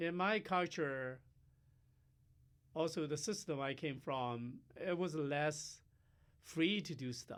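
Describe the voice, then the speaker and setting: A man with a Chinese accent, fairly high in pitch, at a very slow pace with long, frequent pauses and ordinary pitch variation. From China. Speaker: professor. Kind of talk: interview. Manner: halting, many fillers.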